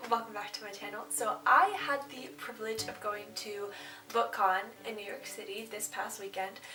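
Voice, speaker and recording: The intonation is lively, with big swings in loudness. Noticeable background noise and audible room echo fill the recording. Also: woman. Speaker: booktuber / vlogger. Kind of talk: casual vlog talk to camera. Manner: fast; animated, excited.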